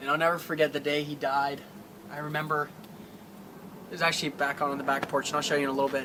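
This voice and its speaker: Noticeable background noise beneath a man's very fast, monotone speech, flat in intonation and fairly high in pitch. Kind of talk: paranormal investigation, emotional personal talk.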